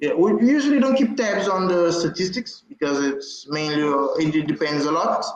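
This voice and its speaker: Audible room echo surrounds a man with a Portuguese accent speaking at a high pitch. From Africa, Portuguese-speaking. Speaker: community group moderator. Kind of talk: conference presentation. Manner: halting.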